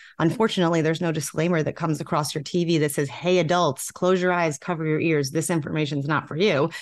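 In an American accent, a woman speaks at a fairly low pitch with a normal speaking voice. Her pitch variation is ordinary, and the background is quiet. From New York. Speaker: vaping advocate. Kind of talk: interview.

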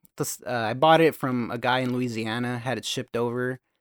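On a very clean recording with a silent background, a man with an American accent speaks at a medium pitch and moderate pace, in a dry, close sound with no echo. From California, US. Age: 30s. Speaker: car builder and brand co-founder. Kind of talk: casual chat.

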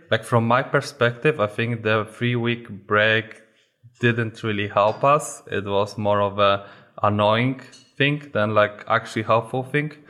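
Speaking at a fairly slow pace, a man with a Polish accent keeps a medium pitch and fairly even intonation. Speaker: esports player. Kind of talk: casual chat.

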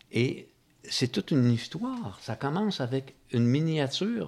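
In a very clean recording with a silent background, a man with a Quebec accent speaks with lively intonation. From Quebec, Magog. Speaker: film enthusiast. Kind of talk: casual chat. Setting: home.

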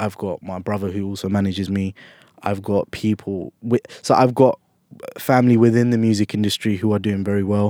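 With a London accent, a man speaks at a fairly quick pace in a fairly low, dark, mellow voice, his intonation fairly even and the sound dry and close with no echo. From South London, England. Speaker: musician and producer. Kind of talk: casual interview. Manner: casual, laughs often.

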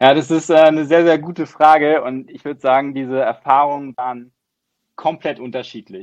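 A fairly high-pitched man talks at a moderate pace with fairly even intonation. His loudness swings widely. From southern Germany, near Baden-Baden. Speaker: venture capital investor. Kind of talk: interview.

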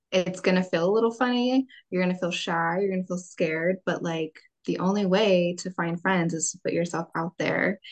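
A woman speaks in an American accent at medium pitch and a moderate pace, with fairly even intonation. It is an unremarkable speaking voice, dry and close with no echo. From California. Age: 20s. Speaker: military spouse. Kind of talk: casual chat.

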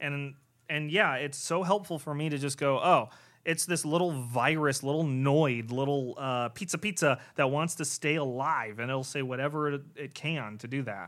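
In a very clean recording with a silent background, a man with a plain, everyday voice speaks at a moderate pace, his pitch fairly high with ordinary variation. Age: 20s. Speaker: podcast host. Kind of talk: casual chat.

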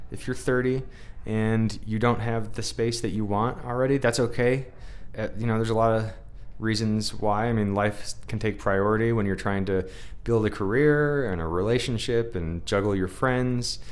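Audible room echo surrounds a man's voice. His intonation stays fairly even. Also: medium pitch for a man, moderate pace. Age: 30s. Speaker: podcast host. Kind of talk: casual chat.

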